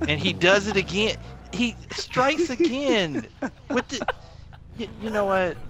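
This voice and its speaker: Over noticeable background noise, a man speaks at a high pitch with lively intonation. His pace is fairly slow, with long, frequent pauses. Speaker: gamer. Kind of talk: casual gaming chat. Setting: online voice party chat.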